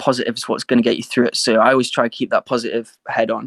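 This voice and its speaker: A man speaks with an American accent at a fairly quick pace. The sound is dry and close, with no echo. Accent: English accent, sometimes with American twang. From northern England, Sheffield. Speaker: rapper and singer. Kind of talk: interview.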